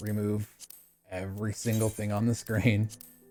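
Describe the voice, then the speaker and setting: Music plays in the background. A man with a fairly low pitch speaks at a fairly slow pace. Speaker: gaming tutorial youtuber. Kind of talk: tutorial. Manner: halting, self-described stutter; casual.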